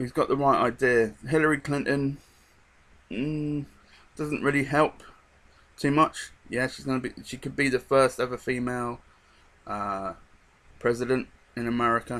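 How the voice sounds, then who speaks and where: A man with a slight British accent, medium pitch, fairly even intonation, a moderate pace, and long, frequent pauses. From England. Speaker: vlogger. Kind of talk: casual monologue. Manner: hesitant, many fillers.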